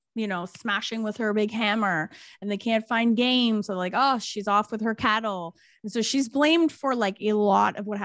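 The voice heard is an unforced reading voice.

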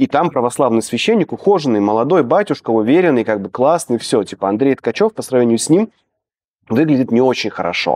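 Against a quiet background, a man talks at a fairly quick pace with very wide pitch swings, in a dry sound with no echo. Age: 30s. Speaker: editor. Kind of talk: interview. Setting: studio. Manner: animated. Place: studio. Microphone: lapel.

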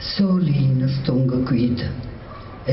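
With a Lazio accent, a woman's voice moves in very wide pitch swings, with audible room echo and light background noise. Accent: Gaeta dialect. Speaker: poet. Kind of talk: poetry reading. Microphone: podium.

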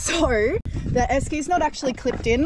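A woman at a moderate pace with ordinary pitch variation, noticeable background noise, and a dry sound with no echo. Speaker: vlogger. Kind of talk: casual vlog chat. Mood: playful, laughing often. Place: street. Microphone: phone near.

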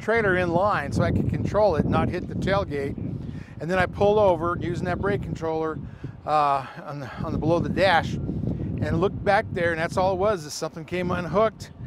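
A man at a fairly quick pace with ordinary pitch variation, dry sound with no echo and loud background noise. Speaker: presenter. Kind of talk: tutorial anecdote. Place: street.

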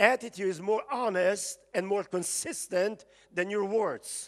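A man with a high voice, speaking at a fairly slow pace with ordinary pitch variation

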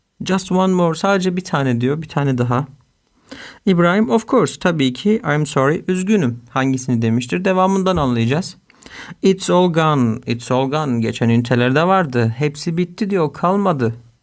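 A man speaks in a plain, everyday voice with a fairly high pitch. His pace is moderate, his intonation lively and his loudness very even. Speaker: English teacher. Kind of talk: tutorial.

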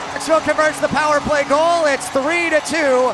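A man bellows in a raised, projected voice at an extremely high pitch and a moderate pace, the sound dry with no echo and music playing in the background. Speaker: play-by-play announcer. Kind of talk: live hockey play-by-play commentary. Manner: builds to a roaring crescendo on the overtime winner. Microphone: headset.

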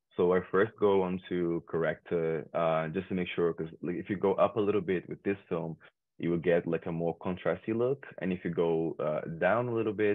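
Against a quiet background, a man with a Portuguese accent speaks at a very deep, low pitch, a moderate pace and fairly even intonation. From Brazil, Rio de Janeiro outskirts; Rio de Janeiro, Brazil. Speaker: photographer; guest. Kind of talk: tutorial. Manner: halting, many fillers. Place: home room. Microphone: webcam.

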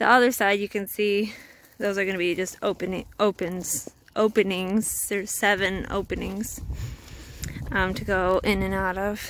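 With long, frequent pauses, a woman speaks at a fairly slow pace in a flat monotone, the sound dry with no echo and light noise in the background. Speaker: farm vlogger. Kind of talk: casual vlog chat. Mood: relaxed, end of day. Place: farm machine. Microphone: phone near.

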